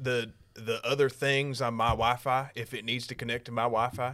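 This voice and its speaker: A man talks with an American accent. His tone is bright and sharp. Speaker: podcast host. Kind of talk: casual chat.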